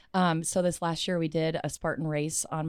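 Recorded very cleanly against a silent background, a woman's fairly low voice has a dry, close sound with no echo and moves at a moderate pace. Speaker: dancer and dance teacher. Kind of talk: casual chat. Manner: energetic.

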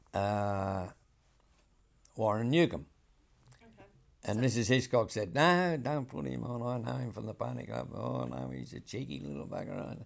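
Fairly low male voice in a rural Australian accent, at a moderate pace, with very wide pitch swings, big swings in loudness and long, frequent pauses. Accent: broad rural Australian. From rural New South Wales, Australia. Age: 80s+. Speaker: saddle maker. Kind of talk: interview storytelling. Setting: saddle shop.

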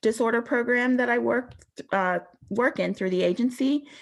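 A woman with an American accent, an unremarkable speaking voice, lively intonation, and a moderate pace. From Western Pennsylvania, rural. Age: 30s. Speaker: peer recovery specialist. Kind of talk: testimony. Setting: video call.

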